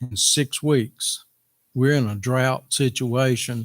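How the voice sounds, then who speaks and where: A man with a Tennessee accent speaks at a very slow pace with fairly even intonation. The sound is dry and close with no echo, on a very clean recording with a silent background. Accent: Southern US, Tennessee. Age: 70s. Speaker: farmer making public comment. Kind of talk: public comment at meeting. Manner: halting.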